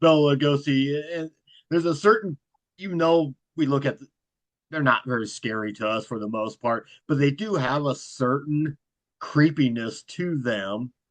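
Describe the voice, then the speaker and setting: In a dry, close recording with no echo and a quiet background, a man with a fairly high pitch talks at a moderate pace, his loudness swinging widely. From US Midwest, Fort Wayne, Indiana. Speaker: horror author and YouTube host. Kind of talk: podcast interview. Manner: monotone.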